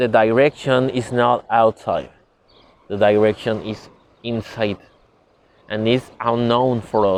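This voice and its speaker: A man speaks with a non-native accent at a fairly slow pace. His intonation is monotone and flat, with long, frequent pauses. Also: medium pitch for a man. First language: not English. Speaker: spiritual teacher. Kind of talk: lecture. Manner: halting.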